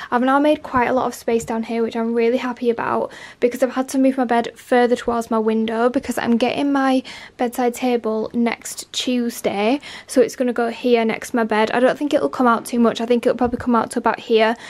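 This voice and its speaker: A woman talks fairly quickly in a high voice. Her intonation stays monotone and flat. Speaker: lifestyle vlogger. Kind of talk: casual vlog chat. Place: home room. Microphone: phone near.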